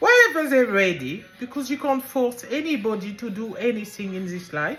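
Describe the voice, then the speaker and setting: A French accent with lively intonation, big swings in loudness and a moderate pace, over noticeable background noise. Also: woman, high pitch for a woman. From France. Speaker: business owner and author. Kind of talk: casual monologue. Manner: rambling, informal.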